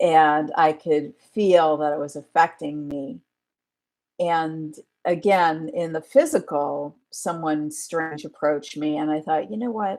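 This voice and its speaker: A woman with a very deep, low voice speaks at a fairly slow pace with ordinary pitch variation. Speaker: spiritual teacher. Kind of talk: casual live-stream talk. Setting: home mic, poor sound.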